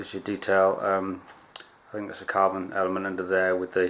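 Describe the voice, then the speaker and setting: A man speaks in a very deep, low voice with monotone, flat intonation. Noticeable background noise runs behind him. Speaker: archery hobbyist vlogger. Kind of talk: unboxing video.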